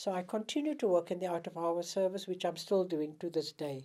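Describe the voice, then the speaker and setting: A woman's dark, mellow tone at a fairly low pitch and a moderate pace. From South Africa, Port Elizabeth. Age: 70s. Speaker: retired doctor. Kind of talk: personal testimony interview.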